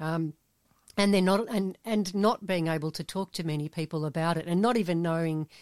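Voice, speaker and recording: In a very clean recording with a silent background, a woman with an Australian accent talks at a moderate pace with fairly even intonation. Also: dry, close sound with no echo. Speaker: podcast host. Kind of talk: casual interview chat.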